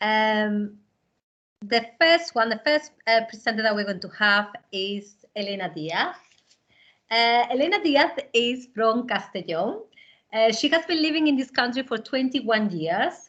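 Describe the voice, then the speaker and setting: In a quiet background, a woman with a Spanish accent speaks at a fairly high pitch and a fairly slow pace, with lively intonation. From southern Spain. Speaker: language teacher and webinar host. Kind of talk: webinar presentation.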